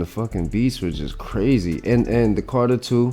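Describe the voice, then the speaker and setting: With lively intonation and a moderate pace, the voice is heard over music in the background. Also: man. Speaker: podcast co-host and beat maker. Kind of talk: casual chat. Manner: loud; halting.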